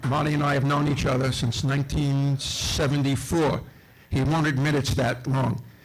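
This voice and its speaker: A fairly high-pitched man with a New York accent, amid noticeable background noise and audible room echo. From Brooklyn, New York. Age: 70s. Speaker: local historian. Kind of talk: speech to an audience.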